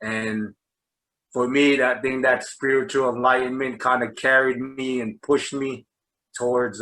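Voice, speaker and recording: Speaking fairly slowly in a New Jersey accent, a man has a medium pitch and a bright, sharp tone. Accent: New Jersey American. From New Jersey, US. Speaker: basketball coach. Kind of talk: interview. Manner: halting, many fillers.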